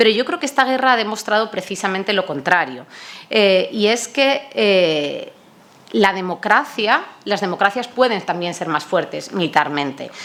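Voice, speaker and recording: At a fairly slow pace, a woman speaks at a medium pitch with very wide pitch swings. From Spain, Toledo. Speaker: NATO public diplomacy coordinator, panelist. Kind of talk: conference panel talk. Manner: hesitant, many fillers.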